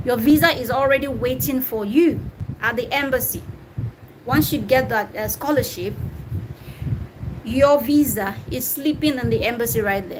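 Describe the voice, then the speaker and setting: A woman talks at a medium tempo in a high voice. Her pitch moves in a normal way, and noticeable noise sits in the background. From Nigeria, Delta State. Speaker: YouTuber answering viewer questions. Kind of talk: live stream Q&A. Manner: casual, conversational.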